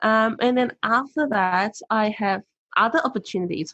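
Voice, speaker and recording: Speaking at a moderate pace with a non-native accent, a woman uses lively intonation. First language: not English. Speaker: motivational speaker and author. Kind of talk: podcast interview.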